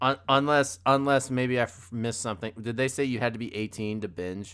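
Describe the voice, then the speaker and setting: A man's animated, bright and sharp voice at medium pitch, with ordinary pitch variation, a moderate pace, and a very clean recording over a silent background. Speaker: film review podcast co-host. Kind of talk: casual chat.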